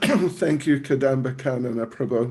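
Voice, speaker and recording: The man's voice is rather high and a bit breathy, his delivery fairly slow and his pitch varying normally. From New Zealand, Auckland. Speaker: monk and spiritual teacher. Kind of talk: religious lecture.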